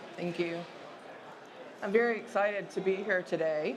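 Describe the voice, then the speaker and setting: Audible room echo around a woman's medium-pitched voice, moderate in pace, with ordinary pitch variation. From US South. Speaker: sociology professor. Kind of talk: conference presentation.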